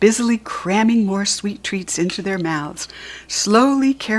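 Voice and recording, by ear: The speaker is reading aloud in a natural voice. The pitch varies in an ordinary way.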